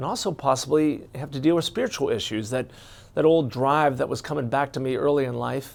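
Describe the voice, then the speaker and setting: Speaking at a fairly quick pace, a man with a fairly high pitch and an American accent uses ordinary pitch variation. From US Midwest, Cincinnati, Ohio. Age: 60s. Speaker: retired doctor and life coach. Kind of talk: personal introduction monologue. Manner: conversational with frequent repetitions and fillers.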